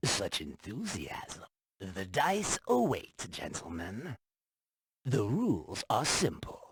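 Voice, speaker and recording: Very slowly, a man delivers his lines in a put-on character voice at a medium pitch. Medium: video game. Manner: smooth, persuasive.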